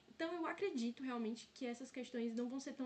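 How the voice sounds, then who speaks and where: A woman's high voice at a fairly quick pace, with ordinary pitch variation. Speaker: student tutor leading exam review. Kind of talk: online review lecture.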